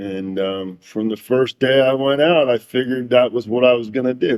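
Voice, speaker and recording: Here a man speaks at a medium pitch. He keeps a moderate pace. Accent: American. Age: 60s. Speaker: fisherman. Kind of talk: interview. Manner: halting.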